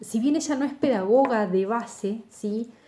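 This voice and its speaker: A woman's somewhat breathy, dark and mellow voice, fairly high in pitch, with ordinary pitch variation and audible room echo. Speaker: university lecturer. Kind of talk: lecture.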